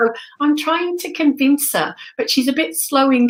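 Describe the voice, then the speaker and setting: This woman speaks with a British accent on a very clean recording with a silent background. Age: 60s. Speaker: spiritual medium and teacher. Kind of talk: casual chat.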